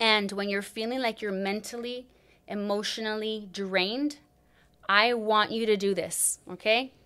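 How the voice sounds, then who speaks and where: A woman's bright, sharp, animated voice, fairly high in pitch and fairly slow in pace. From Los Angeles, Huntington Park, Mexican-American family. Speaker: life coach and corporate wellness trainer. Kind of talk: interview.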